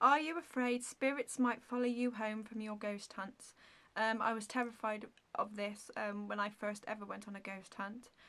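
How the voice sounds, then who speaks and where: Her tone bright and sharp, a woman speaks at a moderate pace and a fairly high pitch with fairly even intonation. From England, Shropshire. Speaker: beauty vlogger. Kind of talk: casual Q&A vlog. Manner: halting, many fillers and stumbles.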